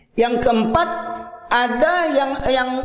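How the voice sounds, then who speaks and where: Amid noticeable background noise and audible room echo, a man speaks in an animated tone at an extremely high pitch. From Medan, North Sumatra, Indonesia. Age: 50s. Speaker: Islamic preacher. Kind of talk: sermon.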